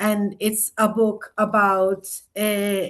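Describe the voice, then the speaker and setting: A woman speaks with a Spanish accent. Her pitch is medium. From Colombia. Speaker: writer and performance artist. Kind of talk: author talk; reading aloud. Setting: video call.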